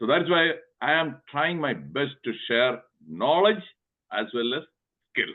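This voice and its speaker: Someone with a Kerala accent speaks at a fairly slow pace, pausing long and often. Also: man, fairly high pitch for a man. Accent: Indian (Kerala) English. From Kerala, India. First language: Telugu. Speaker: physician and motivational speaker. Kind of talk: webinar talk. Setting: online webinar. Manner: emphatic, repetitive.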